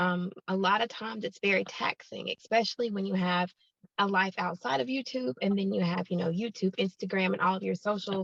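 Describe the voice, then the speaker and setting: In a dry, close sound with no echo, a woman speaks fairly quickly at a fairly low pitch. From US South, Alabama (Huntsville). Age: 30s. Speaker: YouTuber. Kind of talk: interview chat.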